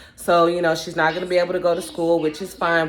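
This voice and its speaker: A woman speaks with a fairly low pitch. Background noise is noticeable. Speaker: vlogger, amateur runner and mom. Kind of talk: casual vlog talk to camera. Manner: relaxed.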